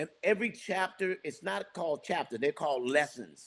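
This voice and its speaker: Against a quiet background, a man talks at a moderate pace in an animated tone. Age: 60s. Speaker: real estate business owner. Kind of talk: podcast interview.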